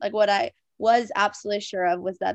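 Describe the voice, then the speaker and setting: A woman talks in a normal speaking voice at a medium pitch, her intonation fairly even. Her pace is moderate, and the background is quiet. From Minnesota. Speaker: evangelist and disciple maker. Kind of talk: podcast interview.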